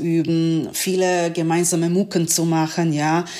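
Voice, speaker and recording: With a Serbian accent, a woman speaks at a fairly low pitch. Noticeable background noise sits behind her. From Yugoslavia (Serbia). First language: Serbian (speaking German). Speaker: trumpeter and music professor. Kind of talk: interview. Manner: halting.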